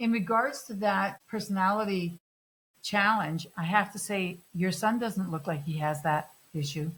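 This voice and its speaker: The woman talks at a fairly slow pace with ordinary pitch variation. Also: medium pitch for a woman. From Vancouver, Canada, emigrated from Greece as a child. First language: Greek. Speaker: podcast host. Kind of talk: interview.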